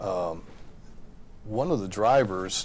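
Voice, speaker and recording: A man's voice with audible room echo. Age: 60s. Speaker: trucking industry representative. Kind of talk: panel discussion.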